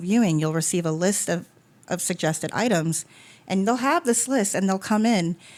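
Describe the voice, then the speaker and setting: At a fairly quick pace, a woman talks in a fairly low voice. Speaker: podcast host and funeral home worker. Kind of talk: casual conversation. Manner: fast.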